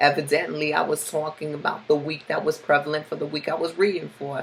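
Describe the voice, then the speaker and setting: Over noticeable background noise, a woman speaks in a very deep, low pitch with fairly even intonation. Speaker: tarot reader. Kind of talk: tarot forecast monologue.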